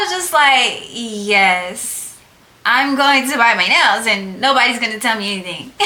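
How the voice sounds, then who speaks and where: Speaking at a fairly slow pace, a woman uses lively intonation at a fairly high pitch. Noticeable background noise sits behind her. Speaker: nail technician YouTuber. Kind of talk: casual tutorial vlog. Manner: loud, projecting voice; casual, chatty. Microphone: no microphone, camera audio.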